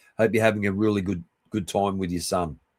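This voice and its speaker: A man's fairly low voice in an Australian accent, fairly even in intonation, with a dry, close sound and no echo. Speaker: live streamer. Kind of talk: casual chat. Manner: halting, many fillers and restarts.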